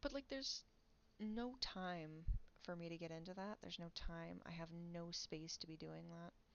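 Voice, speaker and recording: A quiet woman speaks at a moderate pace in a fairly low voice, with ordinary pitch variation. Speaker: streamer and artist. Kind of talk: casual chat. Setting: home livestream. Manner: animated.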